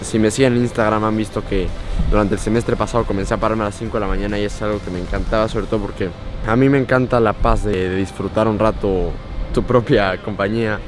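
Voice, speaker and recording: A man's fairly low voice at a very fast pace, dry with no echo, with faint music in the background. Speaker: vlogger. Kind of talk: casual vlog chat. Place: beach. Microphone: phone near.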